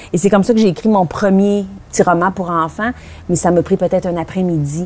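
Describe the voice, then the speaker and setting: A woman with a Quebec accent speaks at a fairly quick pace, her medium-pitched voice keeping fairly even intonation. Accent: Québécois French. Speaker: author. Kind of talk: interview. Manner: fast; hesitant, many fillers.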